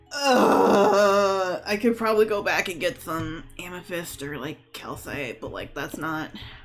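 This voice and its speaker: The speaker goes at a fairly slow pace with hardly any pauses. Music plays in the background. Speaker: gaming streamer. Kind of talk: live gameplay commentary. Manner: slurred, stumbling speech.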